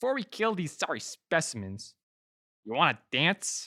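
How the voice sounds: Over faint music in the background, a woman performs a put-on character voice with a bright, sharp tone and a low pitch, making big pitch swings at a moderate pace.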